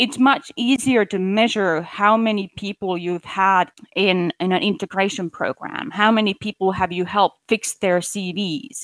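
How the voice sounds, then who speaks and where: In a plain, everyday voice, a woman at medium pitch speaks at a fairly slow pace with ordinary pitch variation, dry and close with no echo. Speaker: relocation specialist. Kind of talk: interview.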